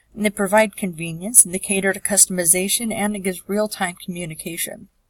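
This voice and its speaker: A woman's somewhat breathy, medium-pitched voice at a very fast pace in a monotone, flat intonation, with a dry, close sound, no echo, and a very clean recording with a silent background. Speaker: public health student. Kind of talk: class presentation narration. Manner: some stammering.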